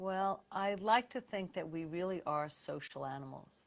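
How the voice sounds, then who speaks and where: In a New York accent, a woman talks at a moderate pace. Her pitch varies in an ordinary way. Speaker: radiologist. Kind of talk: interview. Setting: live stream.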